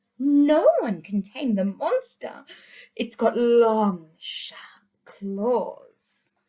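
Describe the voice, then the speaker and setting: A woman puts on a character voice pitched high. Her pace is very slow. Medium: read story.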